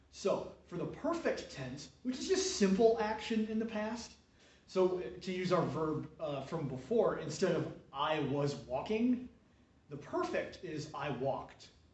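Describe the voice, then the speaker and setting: Noticeable background noise and audible room echo surround the speaker. He is a man with a high pitch and very wide pitch swings. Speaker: Latin teacher. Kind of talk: tutorial. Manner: hesitant, many fillers.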